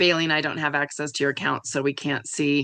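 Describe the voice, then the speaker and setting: A woman talks fairly quickly in a very deep, low pitch with vocal fry and a bright, sharp tone. Her intonation is monotone and flat over a quiet background. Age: 50s. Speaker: online community facilitator. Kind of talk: casual chat. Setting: video call.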